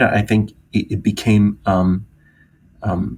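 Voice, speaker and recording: A somewhat breathy man speaks at a fairly low pitch with fairly even intonation. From Greece. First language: Greek. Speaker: professor. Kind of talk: interview. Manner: hesitant, many fillers.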